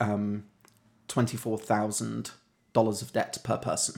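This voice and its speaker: A man speaks in a British accent at medium pitch and a moderate pace. The recording is very clean, with a silent background. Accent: British, non-rhotic. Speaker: podcast co-host. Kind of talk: casual chat.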